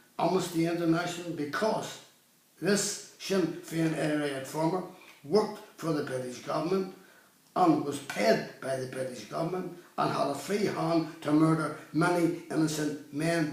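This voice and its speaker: A man with a Northern Irish accent speaks at a moderate pace in a high pitch, with noticeable background noise and audible room echo. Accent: Northern Irish (Belfast). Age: 70s. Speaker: campaigner speaking about his own legal case. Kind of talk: video monologue complaint.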